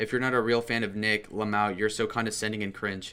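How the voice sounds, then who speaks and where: Shouting loudly at a fairly quick pace, a man uses a bright, sharp tone at a fairly low pitch. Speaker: livestreamer reading chat. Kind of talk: casual livestream rant. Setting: home alone, streaming. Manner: loud, yelling into mic.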